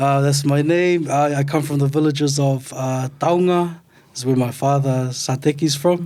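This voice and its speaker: A man talks at a moderate pace with a fairly high pitch and a dark, mellow tone. His intonation is monotone and flat. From Otara, South Auckland, New Zealand (Tongan family). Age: 30s. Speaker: artist and academic. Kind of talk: casual interview chat. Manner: hesitant, many fillers.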